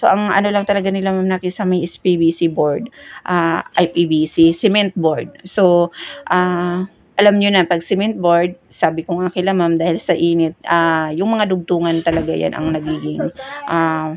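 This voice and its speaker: A soft-spoken woman at a fairly low pitch with fairly even intonation. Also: moderate pace. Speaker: building contractor. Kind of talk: voice-over home tour. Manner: soft, quiet voice.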